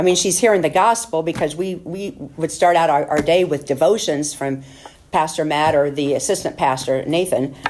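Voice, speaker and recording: A woman speaks with a very deep, low pitch. Background noise is noticeable. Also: ordinary pitch variation. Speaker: surgical nurse giving church mission report. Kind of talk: testimony. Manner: fast; halting, many fillers.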